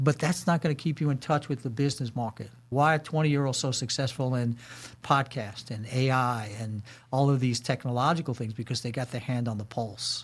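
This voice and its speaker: Over a very clean recording with a silent background, a man talks at a fairly quick pace in a somewhat breathy voice of medium pitch. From New York, Brooklyn. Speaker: corporate security leader and military veteran. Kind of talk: podcast interview. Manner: animated.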